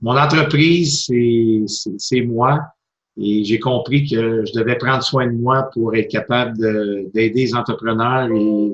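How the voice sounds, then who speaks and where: Speaking at a very slow pace, a man with a Quebec accent uses a medium pitch and fairly even intonation. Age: 50s. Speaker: motivational speaker and coach. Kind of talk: interview.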